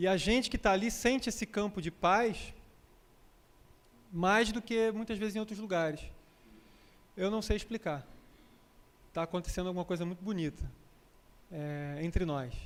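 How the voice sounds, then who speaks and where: With a Rio de Janeiro accent, a man speaks high for his sex, with ordinary pitch variation and long, frequent pauses. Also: moderate pace. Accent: Rio de Janeiro (carioca). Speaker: spiritist lecturer and yoga teacher. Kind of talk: lecture. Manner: conversational, with frequent repetitions.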